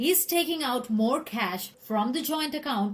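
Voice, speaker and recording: Somewhat breathy and with very wide pitch swings, a woman speaks in an Indian accent. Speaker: relationship counselor. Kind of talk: list narration.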